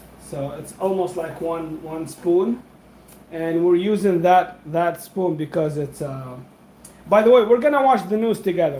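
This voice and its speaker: With a non-native accent, a man speaks at a moderate pace in a high pitch. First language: not English. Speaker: food vlogger. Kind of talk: live cooking stream. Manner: casual, halting with fillers.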